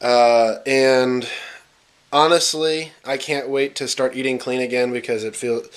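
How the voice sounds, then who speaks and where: A man's medium-pitched, monotone voice, flat and fairly slow. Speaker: fitness vlogger. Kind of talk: casual vlog. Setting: in a car. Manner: hesitant, many fillers.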